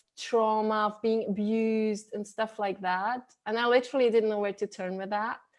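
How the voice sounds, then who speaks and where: A woman with a non-native accent speaks at a fairly high pitch. Her intonation is monotone and flat over a quiet background. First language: not English. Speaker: spiritual coach. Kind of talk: interview. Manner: halting, with many repetitions.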